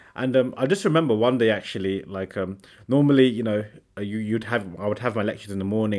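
Speech comes out at a very fast clip with an English accent. The intonation stays fairly even. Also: man. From England, Sri Lankan family. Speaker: seminarian, podcast co-host. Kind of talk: casual faith conversation. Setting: seminary room.

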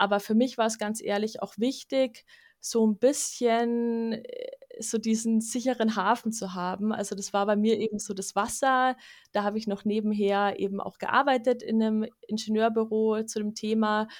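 On a very clean recording with a silent background, a woman with a fairly high pitch speaks in a monotone, flat intonation at a moderate pace. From Bavaria, Munich. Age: 20s. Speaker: wildlife ecologist. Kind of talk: casual interview.

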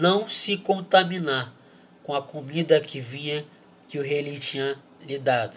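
His pitch fairly high, a man speaks with fairly even intonation. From Brazil. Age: 20s. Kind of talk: casual sermon.

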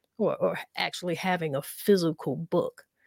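A woman with a South Carolina accent is heard on a very clean recording with a silent background, the sound dry and close with no echo. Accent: Southern US (South Carolina). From US South, South Carolina. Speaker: poet and community activist. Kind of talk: casual interview with poetry readings.

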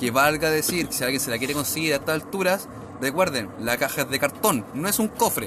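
Someone with a Chilean accent speaks at a fairly quick pace with lively intonation, amid noticeable background noise. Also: man, fairly high pitch for a man. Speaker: podcast host. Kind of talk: casual chat. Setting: at home.

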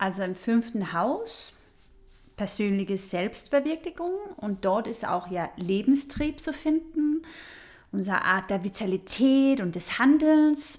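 Very slow speech from a woman with a fairly high pitch and very wide pitch swings. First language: not German (speaking German). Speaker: astrology podcast host. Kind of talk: solo podcast talk on astrology. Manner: conversational with filler sounds.

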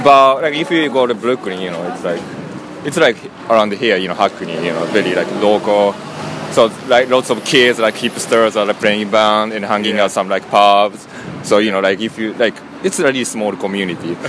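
Amid noticeable background noise, a man with a Japanese accent speaks at a moderate pace in a fairly low voice with ordinary pitch variation. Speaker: sound engineer. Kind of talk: casual interview. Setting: live music venue. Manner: halting.

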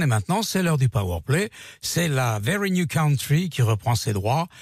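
A man speaks at a fairly high pitch in an upbeat, somewhat breathy voice with very wide pitch swings. The very clean recording has a silent background and a dry, close sound with no echo. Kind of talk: radio DJ patter introducing country songs between tracks. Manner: smooth, brisk, upbeat radio-host delivery; chatty and informative, dropping music trivia.

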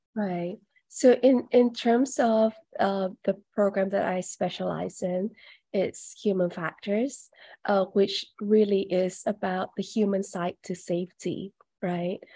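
A woman at medium pitch with a dark, mellow tone, a very slow pace and fairly even intonation, on a very clean recording with a silent background. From Malaysia. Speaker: aviation training director. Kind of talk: interview.

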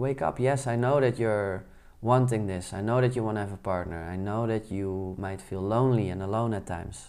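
Speaking at a fairly quick pace with a Dutch accent, a man uses a fairly low pitch and ordinary pitch variation. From Netherlands. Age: 30s. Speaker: podcast host, entrepreneur. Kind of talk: solo podcast monologue.

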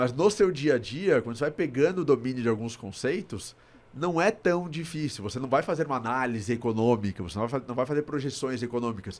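A man with a plain, everyday voice, medium pitch and lively intonation speaks fairly quickly with hardly any pauses. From Brazil, São Paulo. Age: 30s. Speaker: investment platform founder. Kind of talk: podcast interview. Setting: studio.

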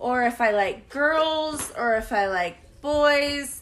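With an American accent, a woman speaks in a bright, sharp tone with ordinary pitch variation. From California. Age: 30s. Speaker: podcast host. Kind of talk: casual chat.

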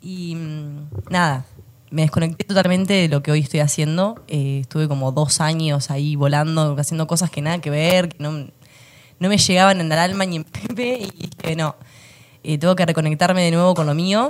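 Using a normal speaking voice, a woman with a fairly low pitch talks at a moderate pace. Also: ordinary pitch variation. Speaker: landscape designer. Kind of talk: casual interview chat.

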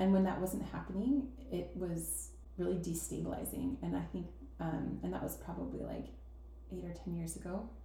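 A woman at a moderate pace, with audible echo from the room. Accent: American. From Utah, Salt Lake City. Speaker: church member. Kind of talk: interview.

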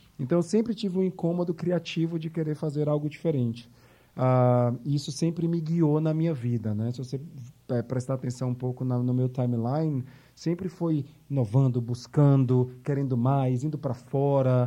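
A man's fairly high voice, dark and mellow in tone, with ordinary pitch variation at a moderate pace. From Bahia, Brazil (Salvador). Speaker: marketing agency executive. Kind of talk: interview.

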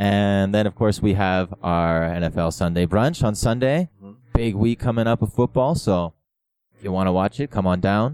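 A man talks in a normal speaking voice at a moderate pace, his pitch fairly low. The recording sounds dry and close, without echo. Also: ordinary pitch variation. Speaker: podcast co-host. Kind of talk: casual chat.

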